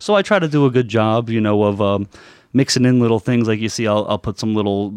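Fairly quick pace in an unremarkable speaking voice. The background is quiet. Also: man. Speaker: comic shop owner. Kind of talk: casual interview chat.

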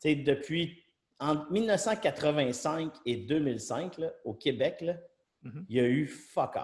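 A man talks in a somewhat breathy voice at a fairly high pitch. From Quebec, Trois-Rivières. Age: 40s. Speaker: serial entrepreneur. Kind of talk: casual interview.

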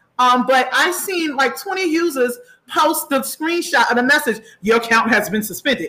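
With an American accent, a woman uses a raised, projected voice in a high pitch at a moderate pace. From Far Rockaway, New York. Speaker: podcast host. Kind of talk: casual chat.

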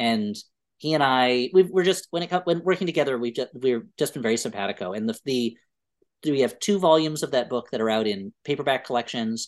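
A man with an American accent speaks in a plain, everyday voice at medium pitch. His intonation is lively and his pace fairly quick, against a quiet background. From US. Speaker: comedy writer. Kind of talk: casual chat.

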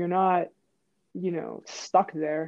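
A woman's medium-pitched voice in an American accent. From Pittsburgh, Pennsylvania. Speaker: former pro basketball player. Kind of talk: interview. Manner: animated storytelling.

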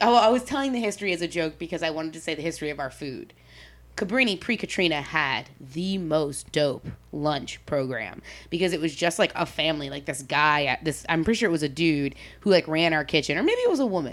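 A woman with a fairly low pitch sounds animated, her pitch swinging very widely. The recording is very clean, with a silent background. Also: fairly quick pace. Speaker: podcast host. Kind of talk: casual chat.

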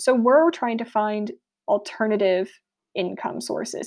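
A woman with an American accent has a plain, everyday voice, pitched fairly high with ordinary pitch variation. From US South, South Florida. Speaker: anthropologist. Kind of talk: interview.

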